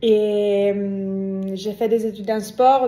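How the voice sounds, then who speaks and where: Dark and mellow in tone, a woman speaks at a medium pitch in a flat monotone. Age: 30s. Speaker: swimrun athlete. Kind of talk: interview. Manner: hesitant, many fillers.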